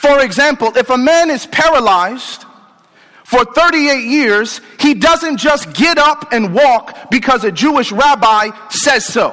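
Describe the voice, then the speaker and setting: A man's extremely high, raised and projected voice, warm and animated in tone, with ordinary pitch variation, very even loudness, a fairly slow pace and noticeable background noise. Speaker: preacher. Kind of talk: sermon to healthcare professionals, call-and-response, rousing pulpit preaching. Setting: live in church or conference hall before audience. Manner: animated, rhetorical questions, inviting audience amens; warm and humorous, conversational.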